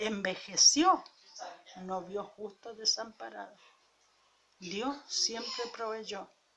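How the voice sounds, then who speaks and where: Against noticeable background noise, the speaker goes at a very slow pace with long, frequent pauses and lively intonation. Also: woman, fairly high pitch for a woman. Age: 70s. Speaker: preacher. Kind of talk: sermon.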